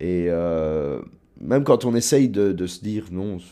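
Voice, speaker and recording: This man's voice shows ordinary pitch variation on a very clean recording with a silent background. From southern Luxembourg province, Belgium. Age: 20s. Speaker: university student. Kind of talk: personal testimony interview. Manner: hesitant, with fillers and repetitions.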